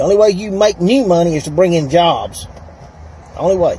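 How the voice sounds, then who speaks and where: A man with a Southern US accent talks at a fairly quick pace over noticeable background noise. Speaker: plumber and political candidate. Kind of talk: casual talk to camera.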